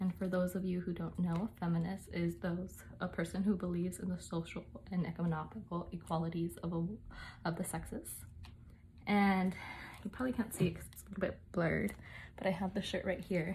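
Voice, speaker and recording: A woman with vocal fry speaks at a fairly quick pace with fairly even intonation. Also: fairly low pitch for a woman. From United States, Mexican-American family. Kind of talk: casual talk to camera.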